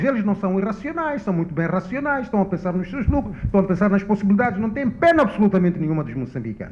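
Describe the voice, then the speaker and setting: The speech runs at a very fast pace with very wide pitch swings. There is noticeable background noise. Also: man. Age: 60s. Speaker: economist panelist. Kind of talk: panel discussion. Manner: halting.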